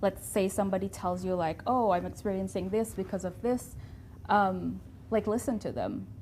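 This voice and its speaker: A woman's medium-pitched voice with vocal fry, fairly even intonation and a moderate pace. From Indonesia. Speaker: guest on diversity show. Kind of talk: interview conversation.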